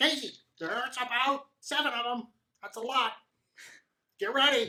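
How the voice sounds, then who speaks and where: Fairly high pitch in a put-on character voice. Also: moderate pace. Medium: actual play.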